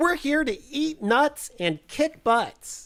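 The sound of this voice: A put-on character voice, high-pitched and squeaky, at a very slow pace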